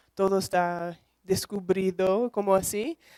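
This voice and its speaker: With a non-native accent, a woman of medium pitch speaks in a dark, mellow tone, the sound dry and close with no echo. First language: English (speaking Spanish). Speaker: emotion researcher and lecturer. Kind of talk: lecture. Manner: halting.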